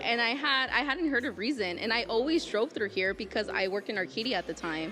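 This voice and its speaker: With an American accent and an animated tone, a woman with a fairly high pitch speaks at a very fast pace, her pitch swinging very widely over noticeable background noise. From Southern California, El Monte. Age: 20s. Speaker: gym member. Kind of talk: interview.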